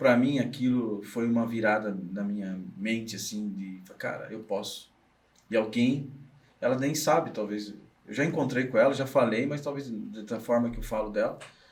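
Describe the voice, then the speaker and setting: Audible room echo surrounds this man's voice. His pitch variation is ordinary. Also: medium pitch for a man, moderate pace. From Brazil, interior of São Paulo state. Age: 40s. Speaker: business consultant and trainer. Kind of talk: podcast interview. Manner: halting, frequent self-corrections.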